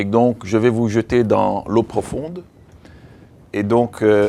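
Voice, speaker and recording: A man's medium-pitched, dark, mellow voice in an English accent, very slow with long, frequent pauses, very even loudness and fairly even intonation. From Belgium and Africa. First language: English (speaking French). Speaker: veterinarian and animal-rights association director. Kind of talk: training workshop. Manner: halting, with frequent repetitions.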